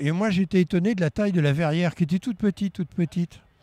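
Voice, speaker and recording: On a very clean recording with a silent background, a man's high-pitched voice has a dark, mellow tone, ordinary pitch variation, and a dry, close sound with no echo. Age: 70s. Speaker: retired aviation magazine editor. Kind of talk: interview reminiscence. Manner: hesitant, with fillers and repetitions.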